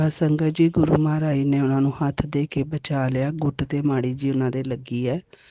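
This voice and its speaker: Speaking with a Punjabi accent in a very deep, low voice, a woman talks in a flat monotone with hardly any pauses. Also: moderate pace. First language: Punjabi (speaking Hindi). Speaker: devotee sharing a testimony. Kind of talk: devotional testimony.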